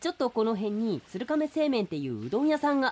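A man does a put-on character voice at an extremely high pitch with big pitch swings. He talks fast, with a slightly mellow tone.

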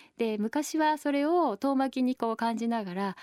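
Heard in a very clean recording with a silent background and a dry, close sound with no echo, a woman speaks with lively intonation. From Tokyo, Japan. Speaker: nonprofit chairperson and architecture writer. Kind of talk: radio interview. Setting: radio studio. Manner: hesitant with frequent fillers.

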